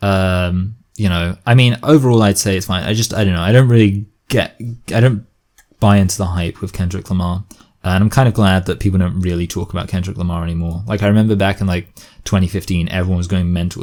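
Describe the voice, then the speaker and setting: Very deep and low, a man's voice moves at a very fast pace with ordinary pitch variation. The recording is very clean, with a silent background. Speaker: video essayist, commentary YouTuber. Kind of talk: casual commentary reaction. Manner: halting, many fillers and false starts; self-conscious about enunciation.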